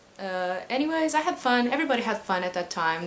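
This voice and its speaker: A woman at a moderate pace, with audible room echo. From Portugal. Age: 20s. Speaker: cosplayer vlogger. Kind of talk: casual Q&A vlog. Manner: hesitant, many fillers.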